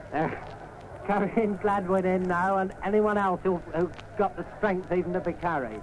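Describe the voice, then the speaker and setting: A high-pitched man at a fairly slow pace, with ordinary pitch variation and noticeable background noise. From England. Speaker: cricket commentator. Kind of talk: live radio sports commentary. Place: stadium. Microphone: old recording.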